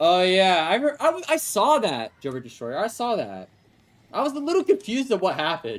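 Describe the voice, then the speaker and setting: A man's high-pitched voice with an American accent, at a fairly quick pace with very wide pitch swings. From Texas. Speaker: game streamer. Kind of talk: live gameplay stream chat. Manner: casual, conversational.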